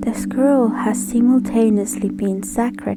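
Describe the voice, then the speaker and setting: Music plays behind the speaker. She is a woman talking at a fairly slow pace. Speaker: narrator. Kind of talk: educational folklore narration. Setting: home recording, poor acoustics.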